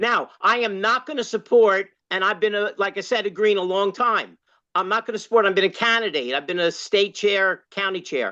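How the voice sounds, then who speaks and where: A woman speaks loudly at a moderate pace and medium pitch, bright and sharp in tone with ordinary pitch variation, against a quiet background. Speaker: longtime party activist and former candidate. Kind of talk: open discussion in online workshop. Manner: halting, many fillers.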